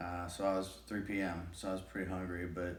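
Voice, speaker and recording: Mumbling, a man speaks at a fairly slow pace. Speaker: shoulder surgery patient. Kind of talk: casual talk to camera. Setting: home, TV on in background. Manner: mumbling, hesitant.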